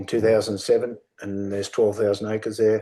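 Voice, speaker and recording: This man speaks with a rural Australian accent in a fairly low-pitched voice with a dark, mellow tone. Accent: broad rural Australian. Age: 60s. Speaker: sheep and beef farmer, workshop speaker. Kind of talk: workshop talk. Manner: casual, plain-spoken.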